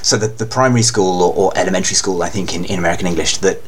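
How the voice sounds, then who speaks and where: Over noticeable background noise, a man talks at a very fast pace with fairly even intonation. His pitch is fairly low, and there is audible room echo. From England. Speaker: anime fan guest. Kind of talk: casual chat. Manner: halting.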